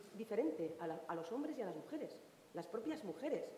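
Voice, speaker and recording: A woman's voice moves through very wide pitch swings. Light background noise and audible room echo can be heard. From Asturias. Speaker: singer; panelist. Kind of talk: panel discussion answer. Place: stage. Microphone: headset.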